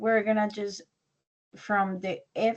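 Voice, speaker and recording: A woman with a Spanish accent talks at a very slow pace. Her pitch sits fairly high. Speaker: English teacher. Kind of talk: online language class.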